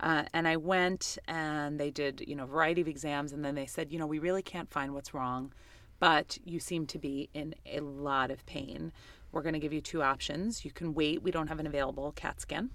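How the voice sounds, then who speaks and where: A woman with an American accent speaks at a moderate pace in a very deep, low pitch, keeping her intonation fairly even. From New York City (Queens). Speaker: agency CEO and author. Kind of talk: interview.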